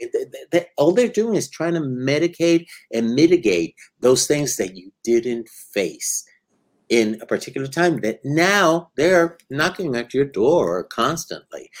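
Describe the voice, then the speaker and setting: A man speaks at a fairly slow pace with a fairly high pitch and lively intonation. He has an unremarkable speaking voice. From Puerto Rico and New York. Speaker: psychologist. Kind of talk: interview.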